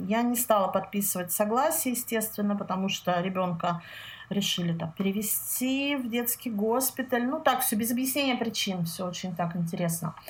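A somewhat breathy woman's voice of fairly high pitch, with lively intonation at a moderate pace. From Russia, Saint Petersburg. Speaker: health consultant. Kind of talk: interview. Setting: call.

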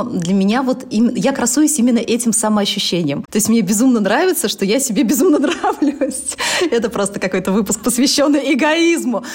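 A woman speaks in a high voice at a fairly quick clip. Her intonation is lively, and background noise is noticeable. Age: 30s. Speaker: blogger and entrepreneur. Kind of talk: casual interview chat.

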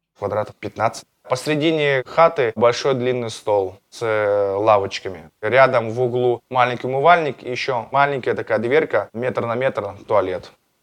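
At a fairly slow pace, a man speaks with a medium pitch and ordinary pitch variation, a plain, everyday voice. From Russia, Astrakhan region. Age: 30s. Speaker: former prisoner, MMA fighter and blogger. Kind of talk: interview, personal story.

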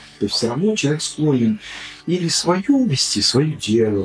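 Very wide pitch swings from a man, with music in the background. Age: 50s. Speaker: business club co-founder. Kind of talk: casual chat.

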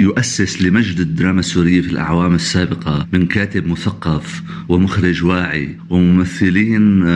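Over noticeable background noise, a man with a Damascus accent speaks at a moderate pace with hardly any pauses, his very deep, low voice showing ordinary pitch variation and very even loudness. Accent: Syrian Arabic (Damascus). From Syria. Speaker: art critic. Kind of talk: remote interview.

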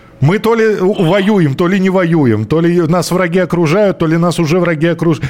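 Against noticeable background noise, a man speaks in a high pitch at a moderate pace with lively intonation. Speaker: radio host. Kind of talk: live radio talk show. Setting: radio studio.

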